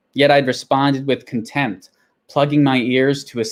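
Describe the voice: Against a quiet background, the recording is plain reading aloud.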